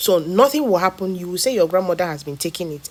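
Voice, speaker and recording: Speaking very fast, a woman at medium pitch keeps her intonation lively. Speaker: health educator. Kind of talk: health talk video.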